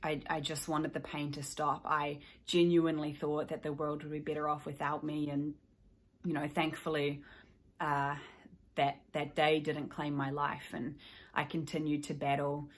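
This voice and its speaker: A woman with a New Zealand accent, very deep and low in pitch, monotone and flat, at a moderate pace. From New Zealand, South Island. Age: 20s. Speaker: mental health advocate, YouTuber. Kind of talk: personal testimony to camera. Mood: somber, reflective. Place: home room. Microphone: phone near.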